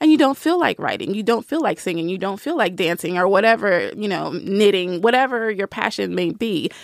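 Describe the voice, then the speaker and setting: A woman with an American accent speaks in an ordinary speaking voice at a medium pitch, fairly quick and with lively intonation. The recording is very clean, with a silent background. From US South, Nashville. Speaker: writer and book reviewer. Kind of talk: casual interview chat.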